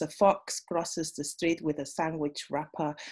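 A woman speaks in a very deep, low pitch with a dark, mellow tone and monotone, flat intonation. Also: quiet background. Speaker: poet. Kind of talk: poetry reading. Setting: video call. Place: home room. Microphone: webcam.

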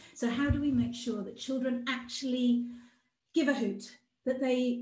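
Against a quiet background with audible room echo, a woman speaks at a very slow pace in a high pitch, her tone dark and mellow and her intonation fairly even. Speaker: outdoor play campaigner. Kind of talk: presentation. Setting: video call. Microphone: video call.

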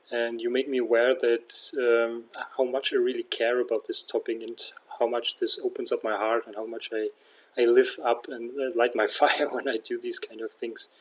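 The speaker uses a German accent and moves at a moderate pace. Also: man. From Germany. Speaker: vlogger and aspiring coach; aspiring coach. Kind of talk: vlog monologue. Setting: at home at night. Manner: halting, many fillers. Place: home room. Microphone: webcam.

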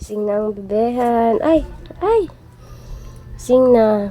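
A woman at a moderate pace with lively intonation, amid noticeable background noise. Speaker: vlogger and new mother. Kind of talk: casual vlog narration. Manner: soft-spoken.

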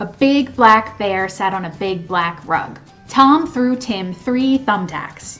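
Faint music plays in the background while a woman speaks at a fairly slow pace. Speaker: vlogger. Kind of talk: casual vlog chat with tongue twisters. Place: home room. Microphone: webcam.

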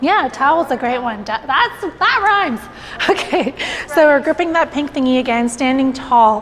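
Lively intonation marks this woman's high-pitched voice, with light background noise behind her. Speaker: fitness instructor. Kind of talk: workout instruction. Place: studio. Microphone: lapel.

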